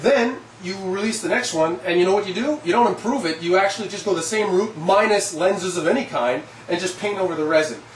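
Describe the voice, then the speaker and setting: At a very fast pace, a man speaks in a high pitch with lively intonation, with audible room echo and noticeable background noise. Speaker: collectibles reviewer. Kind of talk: product review monologue. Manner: animated.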